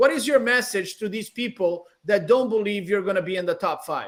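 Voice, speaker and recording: Speaking at a moderate pace, a man with a Brazilian accent uses a high pitch. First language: Portuguese. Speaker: bodybuilding show host. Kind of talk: panel interview.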